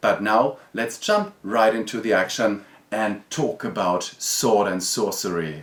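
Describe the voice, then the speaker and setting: Very slowly, a man speaks with a German accent. His fairly low pitch varies in an ordinary way. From Germany. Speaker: board game reviewer. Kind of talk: video review.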